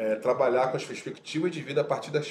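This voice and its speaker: A man talks at a fairly quick pace. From Rio de Janeiro, Complexo do Alemão. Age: 40s. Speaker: audiovisual teacher and social activist. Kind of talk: casual interview chat.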